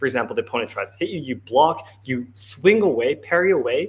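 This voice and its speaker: A man talks with a Japanese accent. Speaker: martial arts interpreter and livestream host. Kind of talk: live stream Q&A interpreting. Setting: livestream from a hot dojo.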